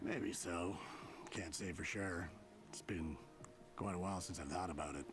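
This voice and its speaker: Putting on a character voice, a man speaks at a moderate pace in a very deep, low pitch, with long, frequent pauses and loud background noise. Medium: video game. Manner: relaxed, gentle.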